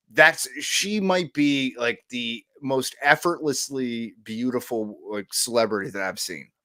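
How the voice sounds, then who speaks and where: A loud man talks at a fairly slow pace with hardly any pauses, in a bright, sharp tone. His intonation is lively, and the recording is very clean with a silent background. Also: medium pitch for a man. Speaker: podcast co-host. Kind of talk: casual chat. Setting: at home.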